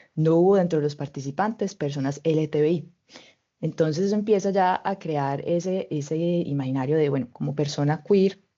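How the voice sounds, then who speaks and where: In a Colombian accent, a woman speaks fairly quickly at a fairly low pitch with lively intonation. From Colombia (Medellín). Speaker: mobility researcher. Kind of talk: webinar presentation.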